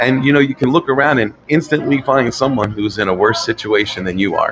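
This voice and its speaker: A man speaks with a fairly high pitch. Noticeable background noise is present. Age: 60s. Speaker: motivational guest sharing life story. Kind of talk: casual interview. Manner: hesitant, repeats words.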